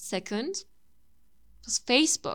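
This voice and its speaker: Someone with a Turkish accent speaks at a very slow pace on a very clean recording with a silent background. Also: woman. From Turkey. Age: 20s. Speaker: YouTuber and language content creator. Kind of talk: monologue podcast.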